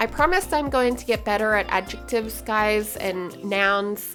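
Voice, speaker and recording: Music plays in the background as a woman with an Australian accent speaks at a fairly slow pace. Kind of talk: casual gaming commentary. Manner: chatty, rambling.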